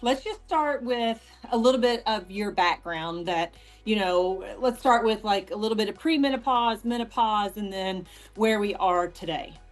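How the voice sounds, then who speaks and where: Over music in the background, a woman speaks at a fairly slow pace with a fairly high pitch and lively intonation. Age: 40s. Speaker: women's health coach and interviewer. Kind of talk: interview.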